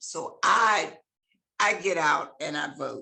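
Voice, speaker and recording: A woman with an American accent talks at a very slow pace in a bright, sharp tone, with audible room echo around her. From US. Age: 80s+. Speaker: retiree sharing life experience. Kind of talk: interview. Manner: halting, with many fillers.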